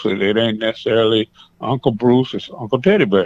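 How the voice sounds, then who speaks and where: Speaking at a fairly quick pace, a man uses a normal speaking voice with an American accent. His pitch is medium and his intonation fairly even. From US West Coast (Seaside, California). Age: 60s. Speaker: pastor. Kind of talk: interview.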